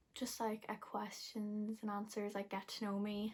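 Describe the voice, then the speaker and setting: This woman has a fairly high pitch and a monotone, flat delivery, with an Irish Midlands accent. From Ireland, Westmeath (Athlone). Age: 20s. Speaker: beauty and lifestyle vlogger. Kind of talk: casual vlog talk to camera. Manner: fast; rambling, filler-heavy.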